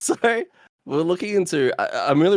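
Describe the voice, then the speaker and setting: With an Australian accent, a man speaks at a fairly quick pace with ordinary pitch variation. The recording is very clean and the background silent. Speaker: board game podcast co-host. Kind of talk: casual chat. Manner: halting.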